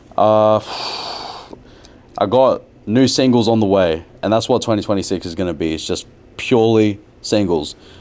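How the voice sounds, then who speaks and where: Here a man with an Australian accent talks at a moderate pace with a fairly low pitch. His pitch variation is ordinary, and he leaves long, frequent pauses. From Brisbane, Australia. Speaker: rapper. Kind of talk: podcast interview.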